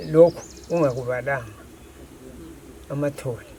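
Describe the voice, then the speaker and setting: Noticeable background noise sits behind a man's fairly high voice. He keeps a moderate pace with ordinary pitch variation. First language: Ndebele. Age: 80s+. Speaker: villager. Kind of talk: interview. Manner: halting.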